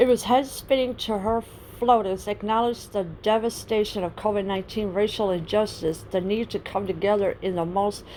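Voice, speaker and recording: A woman at medium pitch and moderate pace, fairly even in intonation, over noticeable background noise. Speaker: political commentary vlogger. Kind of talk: reading an article aloud.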